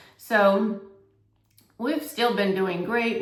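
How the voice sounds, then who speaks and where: A woman speaks at a fairly slow pace with ordinary pitch variation. Noticeable background noise and audible room echo fill the recording. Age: 60s. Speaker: health coach and vlogger. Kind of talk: casual vlog monologue. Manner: conversational, filler-heavy.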